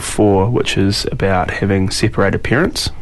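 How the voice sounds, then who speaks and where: A man with a New Zealand accent at a moderate pace, with audible room echo and noticeable background noise. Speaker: musician. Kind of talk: casual interview. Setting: radio studio. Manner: halting, many fillers.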